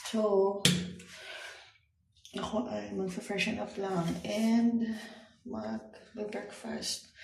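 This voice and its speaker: Speaking very slowly with long, frequent pauses, a woman is heard with audible room echo. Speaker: vlogger. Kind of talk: casual vlog narration. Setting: hotel room.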